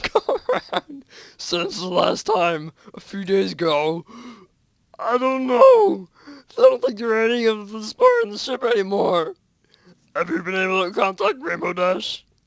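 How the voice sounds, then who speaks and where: A man puts on a character voice pitched high. The sound is dry and close with no echo, and his pace is moderate. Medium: read story. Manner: quiet, halting.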